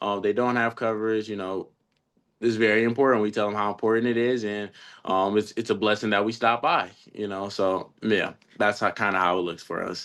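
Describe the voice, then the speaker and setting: A man with an American accent speaks at a moderate pace in a fairly low pitch against a quiet background. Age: young. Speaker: insurance agent. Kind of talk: role-play sales pitch demo; team meeting. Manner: animated.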